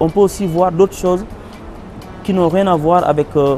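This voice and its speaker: A man speaks at a high pitch. Music plays in the background. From Senegal (Dakar). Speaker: singer and percussionist. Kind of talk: interview answer. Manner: hesitant, many fillers.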